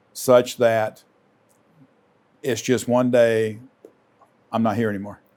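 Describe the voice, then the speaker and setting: A man with a Lowcountry accent, medium-pitched and monotone with flat intonation, at a very slow pace with long, frequent pauses. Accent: Southern US (Lowcountry). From US South, Charleston, South Carolina. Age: 60s. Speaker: retiring credit union CEO. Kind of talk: interview.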